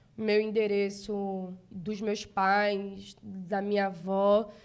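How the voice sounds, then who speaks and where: A woman with a northeastern Brazilian accent on a very clean recording with a silent background. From Brazil, Northeast (Recife, Pernambuco). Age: 30s. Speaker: city councillor, politician. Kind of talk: interview.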